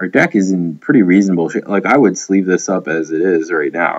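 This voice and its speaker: His pitch is very deep and low, and the man's pitch variation is ordinary. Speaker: gaming video creator. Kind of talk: casual commentary while drafting cards. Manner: casual, hesitant with fillers.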